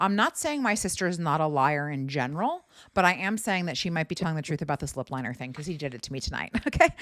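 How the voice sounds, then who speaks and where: A woman with an American accent talks at a very fast pace in a very deep, low pitch, with hardly any pauses. Her intonation is lively and her tone animated, on a very clean recording with a silent background. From US East Coast. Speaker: podcast host, comedian. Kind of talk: casual chat.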